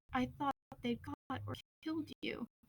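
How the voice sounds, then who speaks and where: A woman performs a put-on character voice. It is growling and wheezy. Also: moderate pace. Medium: read story.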